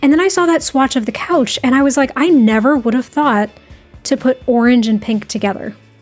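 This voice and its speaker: Music plays in the background as a woman talks at a fairly quick pace. Her pitch is high, with ordinary variation. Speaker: Sims speed build YouTuber. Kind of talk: voiceover commentary. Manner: casual, chatty.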